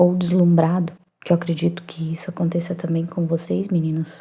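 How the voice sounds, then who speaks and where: A woman speaks soft-spoken and somewhat breathy at a medium pitch. Her tone is dark, mellow and calm. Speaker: psychoanalyst and writer. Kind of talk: soft-spoken ASMR reflective talk. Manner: soft-spoken, calm.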